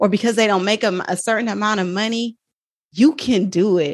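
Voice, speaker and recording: A woman's fairly high, animated voice in an American accent, with ordinary pitch variation and a moderate pace. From Oakland, California. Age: 40s. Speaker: nurse and personal finance educator. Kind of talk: casual interview chat.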